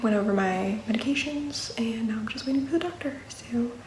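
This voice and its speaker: Room echo and noticeable background noise surround a woman speaking at a moderate pace in a fairly high voice with ordinary pitch variation. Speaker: vlogger. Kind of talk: casual vlog. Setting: in a car; doctor's office.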